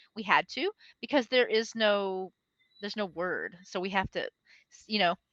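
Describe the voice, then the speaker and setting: An animated woman at a medium pitch and moderate pace, with ordinary pitch variation and a dry, close sound with no echo. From Texas. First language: Spanish. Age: 40s. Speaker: English teacher. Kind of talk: online language lesson.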